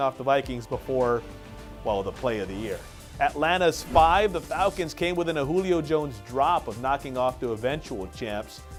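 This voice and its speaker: Music plays behind a man speaking. His voice sits fairly high in pitch and moves with lively intonation. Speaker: sports segment co-host / analyst. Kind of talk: TV sports segment talk.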